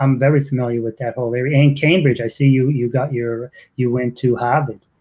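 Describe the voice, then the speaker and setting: A man with a medium-pitched, somewhat breathy voice speaks at a moderate pace with fairly even intonation. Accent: Boston. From Boston, Massachusetts. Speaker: podcast host. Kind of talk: interview.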